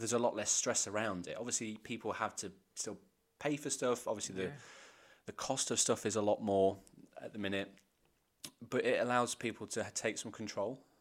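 With an English accent, a man talks at a fairly quick pace but leaves long, frequent pauses. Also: medium pitch for a man. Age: 30s. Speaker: podcast co-host. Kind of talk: casual chat.

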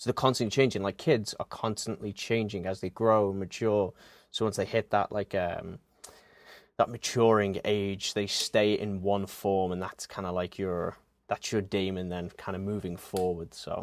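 A man with a fairly low voice speaks at a moderate pace and with fairly even intonation, the sound dry and close with no echo. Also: very clean recording, silent background. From England, Liverpool. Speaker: podcaster. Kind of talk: casual chat.

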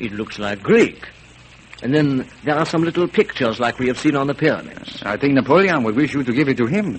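Noticeable background noise surrounds a speaker whose pitch swings very widely. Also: man. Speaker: vintage radio narrator. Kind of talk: 1930s radio documentary narration, archive recording. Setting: old radio broadcast. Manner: formal, dramatic, declamatory, mid-Atlantic announcer style.

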